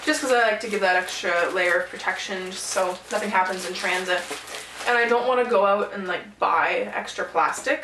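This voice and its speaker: Noticeable background noise surrounds a woman's voice. Her pitch is medium, with ordinary variation. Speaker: reseller. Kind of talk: casual talk to camera.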